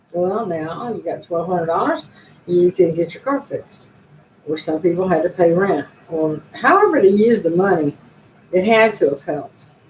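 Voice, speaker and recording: Moderate pace, ordinary pitch variation and big swings in loudness, with noticeable background noise. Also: woman, fairly low pitch for a woman. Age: 60s. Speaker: YouTuber. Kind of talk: casual live stream monologue.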